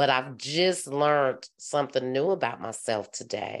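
Very deep, low pitch from a woman, a fairly slow pace, and a quiet background. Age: 50s. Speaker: podcast host. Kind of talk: casual chat.

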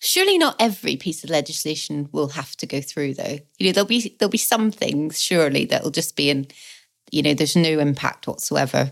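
Speaking with vocal fry at a fairly quick pace, a woman with a very deep, low pitch uses lively intonation. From Northern Ireland, Belfast. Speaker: political podcast co-host. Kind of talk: casual chat.

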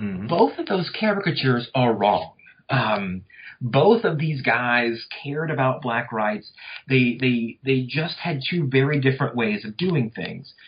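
Somewhat breathy, a man with an American accent speaks at a fairly slow pace with lively intonation. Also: medium pitch for a man. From North Louisiana, US South. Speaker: history professor. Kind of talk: interview about his book.

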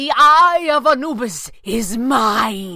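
Using a put-on character voice, a woman speaks at a very slow pace in a high pitch with very wide pitch swings. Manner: exultant, then desperate shrieking.

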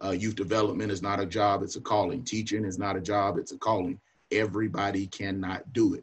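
Speaking at a very fast pace in a Southern US accent, a man's fairly low, somewhat breathy voice stays monotone and flat. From North Carolina (Union County, near Charlotte). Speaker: college football coach. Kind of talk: casual talk on video call.

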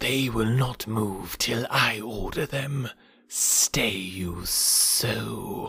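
A man puts on a raspy, hissing character voice at medium pitch. He talks at a very slow pace. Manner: hissed, commanding.

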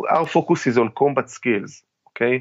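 With an Israeli accent, a man speaks at a moderate pace with medium pitch and ordinary pitch variation. The sound is dry and close, with no echo. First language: Hebrew. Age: 40s. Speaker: military veteran and tactical trainer. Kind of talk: interview. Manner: halting.

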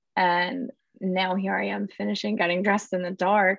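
A woman speaks at a fairly low pitch and a moderate pace, with vocal fry. The sound is dry and close with no echo, over a quiet background. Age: 30s. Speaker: bereaved daughter, blogger. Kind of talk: interview.

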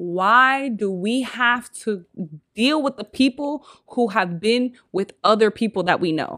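Lively intonation marks a woman's fairly high voice with a bright, sharp tone. She talks at a fairly slow pace, and the sound is dry and close with no echo. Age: 20s. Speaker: podcast host. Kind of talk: casual chat.

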